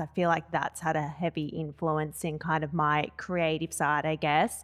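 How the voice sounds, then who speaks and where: On a very clean recording with a silent background, a woman speaks with an Australian accent. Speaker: event manager. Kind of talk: casual chat. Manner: loud.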